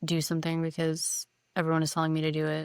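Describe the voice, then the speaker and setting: Recorded very cleanly with a silent background, this voice with a Californian accent has a dry, close sound with no echo. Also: woman. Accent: General American, Californian. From California, Silicon Valley. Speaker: podcast co-host. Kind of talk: casual chat. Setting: in person, same room. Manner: monotone.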